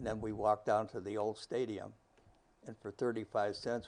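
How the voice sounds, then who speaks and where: At a moderate pace, this voice holds a monotone, flat intonation with a Northern Ohio accent. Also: man. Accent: Northern Ohio American English. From Brunswick, Ohio. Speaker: retired teacher and football coach. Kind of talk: oral history interview answer.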